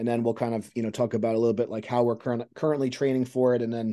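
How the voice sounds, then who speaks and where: Very fast, monotone speech from a man, flat in intonation, against a quiet background. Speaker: strength coach podcast host. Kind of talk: interview question and commentary. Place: home room. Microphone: video call.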